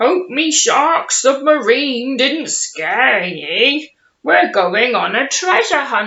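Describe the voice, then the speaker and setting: Using a put-on character voice, a female-sounding voice speaks very slowly at a high pitch. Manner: gruff booming.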